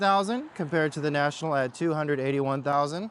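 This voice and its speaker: Noticeable background noise sits behind the speech. A man talks at a fairly high pitch with ordinary pitch variation. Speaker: real estate agent giving neighborhood tour. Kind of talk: walking tour vlog. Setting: outdoors walking along a busy road.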